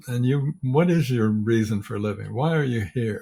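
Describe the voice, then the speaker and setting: At a fairly slow pace, a man speaks in a somewhat breathy, medium-pitched voice with ordinary pitch variation. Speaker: leadership coach. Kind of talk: interview. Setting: podcast.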